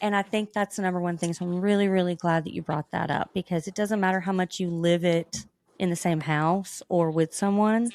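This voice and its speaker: A woman with a Southern US accent talks fairly quickly at a medium pitch, with fairly even intonation and hardly any pauses. The sound is dry and close with no echo, on a very clean recording with a silent background. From rural US South. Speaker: podcast co-host. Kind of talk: casual interview chat.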